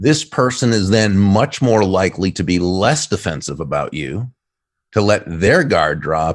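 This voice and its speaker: Over a quiet background, a man speaks at a fairly slow pace. His intonation is lively. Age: 60s. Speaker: author and business speaker. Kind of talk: podcast interview. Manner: hesitant, many fillers and repeats.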